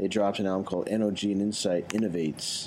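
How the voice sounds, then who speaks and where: This man talks at a fairly quick pace in an ordinary speaking voice. His pitch sits fairly low. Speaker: radio host, DJ. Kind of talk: casual radio show chat. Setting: radio studio, interviewing guest by video call. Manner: casual, filler-heavy, laid-back.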